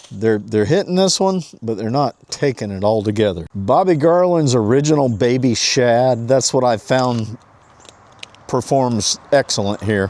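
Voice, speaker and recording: A man's medium-pitched, ordinary speaking voice with lively intonation at a fairly slow pace. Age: 60s. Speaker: fishing vlogger. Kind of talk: casual vlog narration. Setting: outdoors. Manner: casual, chatty.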